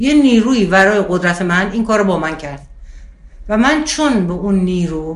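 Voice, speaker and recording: A woman with a medium pitch speaks at a moderate pace with lively intonation. Noticeable background noise and audible room echo are present. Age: 60s. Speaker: spiritual teacher. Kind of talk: interview.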